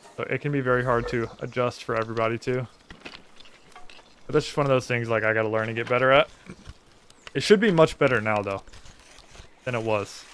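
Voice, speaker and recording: A soft-spoken man talks at a very fast pace, leaving long, frequent pauses. Noticeable background noise runs under his voice. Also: medium pitch for a man, ordinary pitch variation. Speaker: gaming streamer. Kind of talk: live gameplay commentary. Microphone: viewer says stream audio is quiet.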